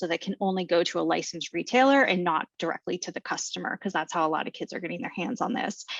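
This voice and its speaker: The sound is dry and close with no echo as a woman speaks against a quiet background. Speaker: public health advocate. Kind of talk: presentation. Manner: fast.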